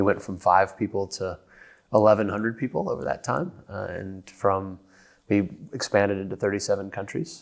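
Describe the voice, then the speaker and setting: A plain, everyday voice from a man with an American accent, fairly low in pitch with ordinary variation, at a moderate pace, on a very clean recording with a silent background. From United States. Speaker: company executive. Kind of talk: podcast interview.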